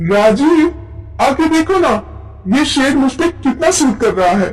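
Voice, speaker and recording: A woman puts on a character voice with a high pitch. She speaks at a moderate pace over noticeable background noise. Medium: read story.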